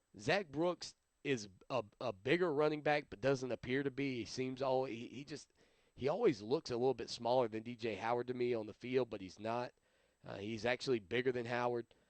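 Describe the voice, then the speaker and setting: Speaking fairly quickly with an American accent, a man holds a medium pitch and ordinary pitch variation. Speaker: sports radio host. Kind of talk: solo sports talk show. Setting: live webcast show. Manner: mumbling at times; casual, hesitant.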